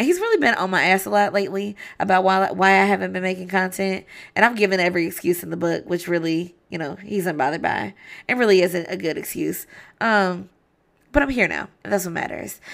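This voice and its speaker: Spoken at a fairly quick pace with ordinary pitch variation, the clip is a very clean recording with a silent background. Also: woman, medium pitch for a woman. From Kentucky. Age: 20s. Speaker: podcast host. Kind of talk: casual monologue. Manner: relaxed, not over-enunciated.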